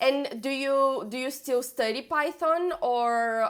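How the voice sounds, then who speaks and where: A woman is speaking. She has a Brazilian Portuguese accent. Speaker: coding bootcamp student and streamer. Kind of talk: live stream tutorial. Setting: live stream with screen share. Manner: halting, with fillers and repeats.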